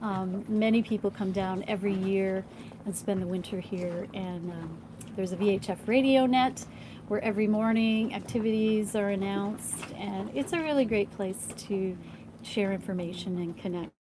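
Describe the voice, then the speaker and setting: A woman speaks in an ordinary speaking voice at a medium pitch. Her intonation is fairly even, and her pace is moderate. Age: 60s. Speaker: sailing documentary producer. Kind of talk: live stream Q&A.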